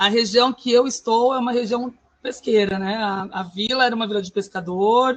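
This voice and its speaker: Her intonation is fairly even. This woman's voice sits at a fairly high pitch. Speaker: schoolteacher, course participant. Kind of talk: online class presentation. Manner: fast.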